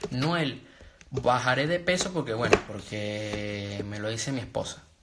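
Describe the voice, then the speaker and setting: There is noticeable background noise as a man speaks at medium pitch. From Venezuela. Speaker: motivational speaker. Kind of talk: live stream talk.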